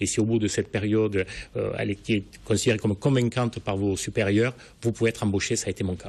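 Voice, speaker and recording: A man with a southern French accent, fairly low pitch, somewhat breathy, monotone and flat, at a very fast pace. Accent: southern French, slightly gravelly. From southern France, Languedoc (Sète). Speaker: newspaper editor-in-chief. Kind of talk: TV interview.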